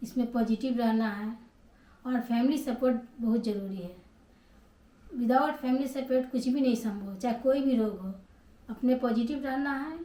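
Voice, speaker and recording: The speech is broken by long, frequent pauses, with noticeable background noise underneath. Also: woman. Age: 60s. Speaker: cancer survivor vlogger. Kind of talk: personal testimony.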